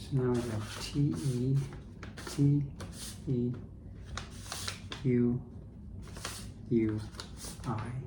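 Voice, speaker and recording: A soft-spoken voice with a gentle tone moves at a very slow pace, with long, frequent pauses and fairly even intonation. Noticeable background noise sits behind it. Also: man, medium pitch for a man. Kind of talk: ASMR soft-spoken commentary. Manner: soft-spoken, gentle.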